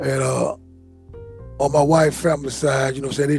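A man with an American accent, somewhat breathy and fairly high-pitched, talking very fast in a dry, close sound with no echo. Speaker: exonerated former prisoner. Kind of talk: interview.

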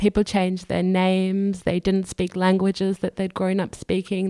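In an Australian accent, a woman speaks at a moderate pace with a medium pitch and a dark, mellow tone. The sound is dry and close with no echo, on a very clean recording with a silent background. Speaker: human rights activist. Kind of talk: interview.

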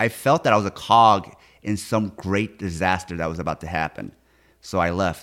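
The recording is very clean, with a silent background. A man talks at a moderate pace with a fairly low pitch and ordinary pitch variation. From US West Coast (born in Korea). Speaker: podcaster and martial artist. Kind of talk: casual interview.

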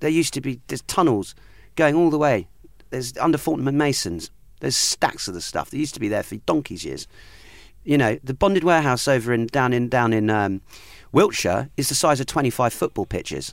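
A man speaks at a fairly quick pace with lively intonation. His medium-pitched voice is an unremarkable speaking voice. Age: 40s. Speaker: whisky cask investment dealer. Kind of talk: casual interview.

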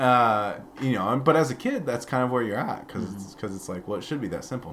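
There is audible room echo around this man's voice. He speaks with an American accent and lively intonation. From US Midwest, Peoria, Illinois. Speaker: former minister, pastor's son. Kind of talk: casual interview conversation.

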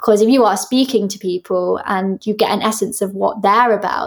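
A woman with a southern English accent is heard on a very clean recording with a silent background. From Devon, southwest England. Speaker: musical theatre actress. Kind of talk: interview.

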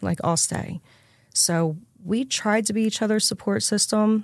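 A woman with an American accent and a plain, everyday voice speaks at a moderate pace with ordinary pitch variation, recorded very cleanly against a silent background. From Pennsylvania, Philadelphia area. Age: 30s. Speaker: addiction recovery speaker. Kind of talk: testimony.

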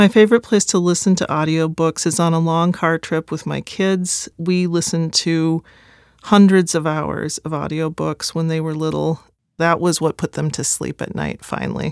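An American accent at a moderate pace, fairly even in intonation, with a dry, close sound and no echo. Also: woman, fairly low pitch for a woman, very clean recording, silent background. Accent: slight Midwestern, worked to reduce. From US Midwest. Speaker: poet and author. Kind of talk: casual monologue about audiobook.

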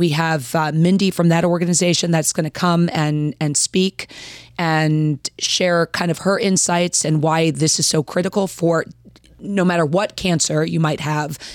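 In a very clean recording with a silent background, a woman with an American accent speaks in a normal speaking voice at a fairly low pitch. Her pace is moderate, her intonation fairly even and her loudness very even. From Baltimore-Washington area, US. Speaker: professional wrestler. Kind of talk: casual chat.

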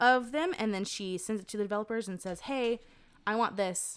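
A woman with an American accent has an ordinary speaking voice at a fairly high pitch with ordinary pitch variation. The recording is very clean with a silent background. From North Carolina, near Raleigh. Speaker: designer and photographer. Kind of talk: casual interview chat.

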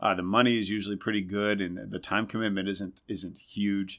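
A man with an American accent speaks at a moderate pace and fairly low pitch in a monotone, flat intonation. The recording is very clean, with a silent background. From Indiana. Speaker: Broadway actor and singer. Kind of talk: casual chat. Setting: backstage dressing room.

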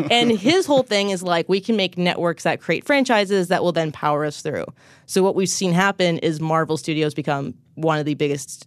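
In an unremarkable speaking voice, a woman talks at a moderate pace with fairly low pitch and lively intonation. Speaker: journalist covering streaming. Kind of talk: casual tech podcast discussion.

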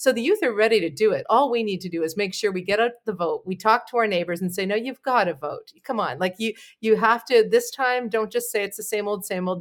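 A woman with a Canadian accent talks in a plain, everyday voice at a medium pitch and fairly quick pace, with ordinary pitch variation, in a very clean recording with a silent background. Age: 40s. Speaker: PR firm owner and talk show host. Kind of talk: interview.

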